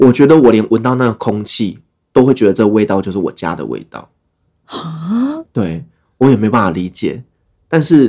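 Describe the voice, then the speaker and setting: A man's medium-pitched voice with a dark, mellow tone, lively intonation and a moderate pace. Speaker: travel podcaster, former expat worker in the Middle East. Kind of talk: casual interview chat.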